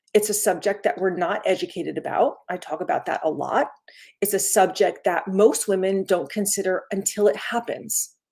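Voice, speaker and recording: Delivered at a moderate pace, this is a normal speaking voice with ordinary pitch variation. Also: woman, medium pitch for a woman. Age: 60s. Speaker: wellness coach. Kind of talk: live stream talk. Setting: live stream video. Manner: casual, conversational.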